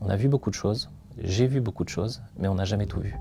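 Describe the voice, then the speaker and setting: Fairly low male voice at a fairly quick pace, fairly even in intonation, with music in the background. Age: 30s. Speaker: company founder, crime scene cleaner. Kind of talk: interview testimony. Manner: hesitant, many filler sounds.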